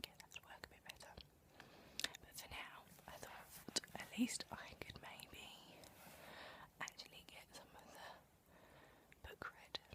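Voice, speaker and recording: Whispering at a moderate pace, the speaker leaves long, frequent pauses and swings widely in loudness over noticeable background noise. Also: woman. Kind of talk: casual talk to camera. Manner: whispered, soft-spoken.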